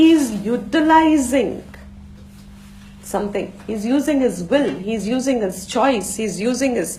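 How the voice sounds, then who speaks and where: Her pitch high and her intonation lively, a woman speaks at a moderate pace with audible room echo. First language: Gujarati. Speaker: Vedanta teacher. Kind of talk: lecture.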